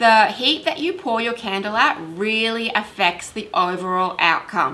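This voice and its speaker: With an Australian accent, a woman talks at a moderate pace in a fairly high voice with very wide pitch swings, over noticeable background noise. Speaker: candle making youtuber. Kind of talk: tutorial. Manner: casual.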